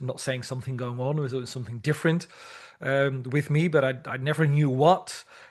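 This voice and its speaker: Against a quiet background, a man with a Dutch accent speaks at a fairly high pitch and a fairly quick pace. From Netherlands. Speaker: language teacher and teacher trainer. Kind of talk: interview. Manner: halting, many repetitions.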